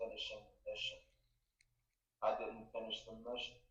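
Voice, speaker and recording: There's audible room echo around this man's voice as he talks. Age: 70s. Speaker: race car driver and military veteran. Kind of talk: interview.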